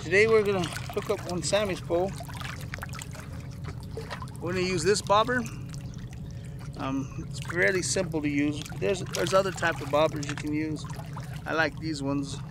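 A man speaks with long, frequent pauses over noticeable background noise. The sound is dry, with no echo. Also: ordinary pitch variation, moderate pace. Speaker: fishing vlogger. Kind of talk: tutorial. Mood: relaxed, friendly. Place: waterside. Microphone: phone near.

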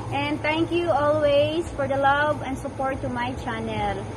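Over noticeable background noise, a woman speaks at a fairly slow pace. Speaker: vlogger. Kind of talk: casual greeting to a fellow channel owner. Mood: warm, cheerful. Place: open country. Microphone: camera far.

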